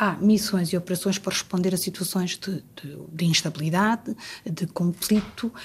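At a moderate pace, a woman speaks in a somewhat breathy, medium-pitched voice with ordinary pitch variation. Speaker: diplomat. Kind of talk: interview. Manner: halting.

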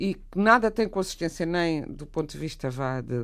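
A woman with an unremarkable speaking voice talks at a fairly low pitch and a moderate pace on a very clean recording with a silent background. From Portugal. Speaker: writer. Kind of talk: radio discussion.

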